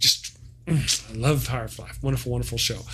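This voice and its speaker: A man speaks in an animated tone. He keeps a fairly quick pace. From Texas. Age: 40s. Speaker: sci-fi reviewer. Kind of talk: live stream casual chat. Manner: halting.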